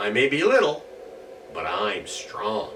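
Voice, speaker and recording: Putting on a character voice, a man talks at a fairly slow pace over clear background noise. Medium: read story.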